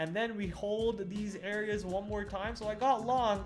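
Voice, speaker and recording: Over music in the background and audible room echo, a man talks at a moderate pace with a high pitch. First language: not English. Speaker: day trader streamer. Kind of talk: live stream trading recap. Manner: casual, hesitant with fillers.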